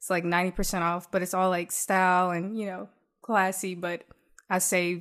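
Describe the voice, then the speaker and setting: The speech is monotone and flat, at a fairly quick pace, in a Southern US accent. The recording is very clean with a silent background. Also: woman. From US South, south Mississippi. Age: 20s. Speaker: entrepreneur. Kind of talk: casual interview.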